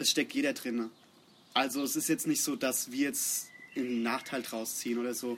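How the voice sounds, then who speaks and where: The man's voice is medium in pitch with a monotone, flat intonation. He keeps a moderate pace. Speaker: bass player in a metal band. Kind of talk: casual interview. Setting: outdoors in a garden.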